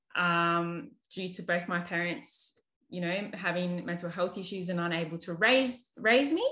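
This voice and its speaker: With an Australian accent, a woman talks at a fairly low pitch and a fairly slow pace in a bright, sharp tone. Her pitch varies in an ordinary way against a quiet background. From Australia, New South Wales. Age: 30s. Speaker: nurse and holistic counsellor. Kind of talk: casual interview.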